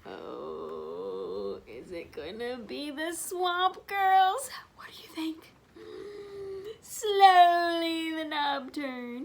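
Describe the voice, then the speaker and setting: A woman speaks at a very slow pace in an extremely high voice. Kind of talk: bedtime story. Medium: read story. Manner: warm, expressive, interactive.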